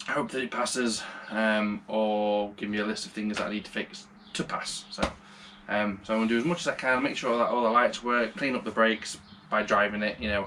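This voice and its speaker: This man has a British accent and a fairly low pitch. He talks at a fairly quick pace with fairly even intonation. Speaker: car hobbyist vlogger. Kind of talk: casual vlog tutorial. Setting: home garage. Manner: loud.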